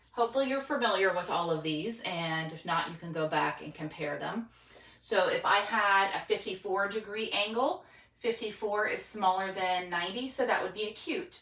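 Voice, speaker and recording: Noticeable background noise behind a woman at medium pitch and a moderate pace. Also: ordinary pitch variation. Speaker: teacher. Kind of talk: tutorial. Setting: home spare room with dry erase board.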